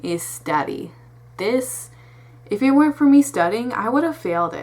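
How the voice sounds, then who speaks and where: Her pitch swings very widely as a woman talks in an animated tone at a fairly slow pace over noticeable background noise. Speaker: vlogger giving test tips. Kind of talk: casual talking-head advice vlog. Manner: stutters when off track; rambling, informal, animated.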